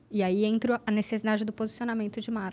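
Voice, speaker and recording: At a fairly quick pace, a woman talks in an unremarkable speaking voice with a fairly high pitch. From Santos, São Paulo state, Brazil. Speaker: journalist and social media marketing entrepreneur. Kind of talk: casual podcast conversation.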